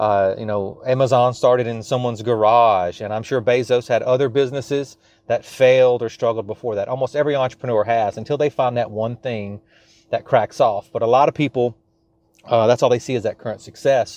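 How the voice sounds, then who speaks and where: A man with a Louisiana accent speaks at a fairly quick pace and a medium pitch. His intonation is fairly even, and the sound is dry and close with no echo. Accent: Louisiana Southern US, noticeable. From South Louisiana, US. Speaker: small business coach and podcast host. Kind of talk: solo podcast monologue, business advice. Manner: chatty, digressive, casual.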